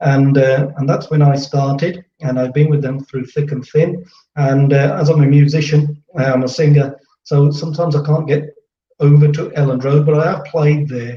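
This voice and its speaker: In an English Midlands accent, a man talks at a moderate pace and a fairly high pitch, somewhat breathy, with a dark, mellow tone and monotone, flat intonation. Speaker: football fan channel host, musician. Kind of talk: casual chat.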